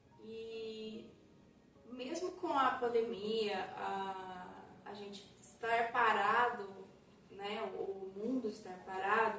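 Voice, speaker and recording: Very slowly, a woman speaks at a fairly high pitch with ordinary pitch variation and big swings in loudness, with audible room echo. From Brazil, Minas Gerais (São Sebastião do Paraíso, interior). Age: 50s. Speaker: ceramic artist. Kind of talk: interview.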